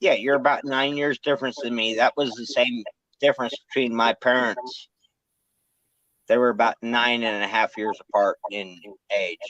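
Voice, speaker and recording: An unremarkable speaking voice with fairly even intonation moves at a moderate pace, with a dry, close sound and no echo. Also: man, medium pitch for a man. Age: 40s. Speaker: livestream host. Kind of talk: casual chat.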